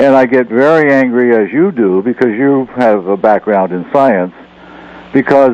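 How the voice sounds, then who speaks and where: Noticeable background noise sits behind a man speaking at a fairly slow pace. His medium-pitched voice has lively intonation. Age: 70s. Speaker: caller, retired scientist. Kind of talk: radio call-in.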